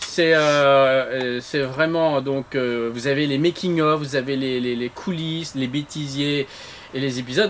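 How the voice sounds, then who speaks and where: Over noticeable background noise, a man speaks at a fairly slow pace in a fairly high voice. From northern France (Lille, Armentières). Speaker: television creator. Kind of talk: interview.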